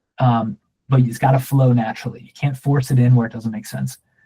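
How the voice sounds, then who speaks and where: Somewhat breathy and dark, mellow in tone, a man talks at a fairly quick pace and medium pitch with monotone, flat intonation. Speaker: online workshop instructor. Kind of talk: workshop Q and A. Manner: casual, with fillers and self-corrections.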